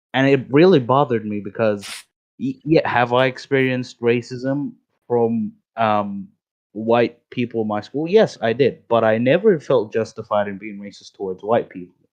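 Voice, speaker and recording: With a non-native accent, a man speaks with ordinary pitch variation and big swings in loudness. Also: medium pitch for a man, moderate pace. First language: not English. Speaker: voice chat participant. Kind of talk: casual chat. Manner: halting.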